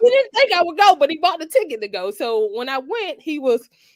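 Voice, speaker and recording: A woman with a Georgia accent speaks at a moderate pace. Her pitch is extremely high and swings very widely. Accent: Georgia Southern. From US South, Georgia. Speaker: attorney. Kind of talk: interview on a talk show. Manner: halting, many fillers.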